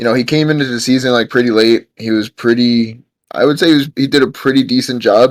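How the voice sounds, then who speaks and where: In a New York accent, a man speaks at a very fast pace with medium pitch and fairly even intonation, in a dry, close sound with no echo. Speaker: podcast guest, football fan. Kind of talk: casual chat.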